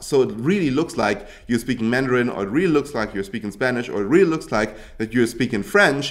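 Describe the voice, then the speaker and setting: This man talks at a medium pitch with a German accent and lively intonation. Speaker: YouTube tutorial creator. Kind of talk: tutorial. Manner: casual, hesitant with fillers and restarts.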